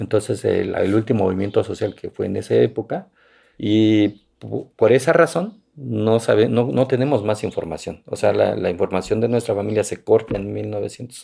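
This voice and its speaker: A man's voice at a moderate pace, on a very clean recording with a silent background. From Santa Catarina Minas, Oaxaca, Mexico. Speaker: mezcal producer and agronomist. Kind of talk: interview. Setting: his village in Oaxaca.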